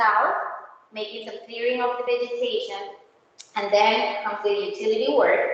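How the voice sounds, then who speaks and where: A woman with a non-native accent speaks at a moderate pace and ordinary pitch variation. Noticeable background noise and audible room echo are in the recording. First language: not English. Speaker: county road project presenter. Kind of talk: community meeting presentation. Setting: HOA meeting room. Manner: halting.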